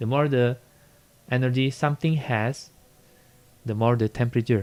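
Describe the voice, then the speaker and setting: At a moderate pace, a man with a non-native accent speaks at a medium pitch with fairly even intonation. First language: not English. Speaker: physics teacher. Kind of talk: classroom lecture, tutorial explanation.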